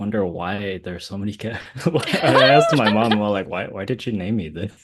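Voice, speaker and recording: Against noticeable background noise, a man talks with a fairly low pitch and ordinary pitch variation. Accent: Californian. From US West Coast, Orange County, California. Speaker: interviewee, Vietnamese American. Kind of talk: casual interview.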